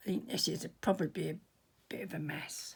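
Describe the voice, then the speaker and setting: The voice is a little breathy. It belongs to a woman. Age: 70s. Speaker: artist. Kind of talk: tutorial. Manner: halting.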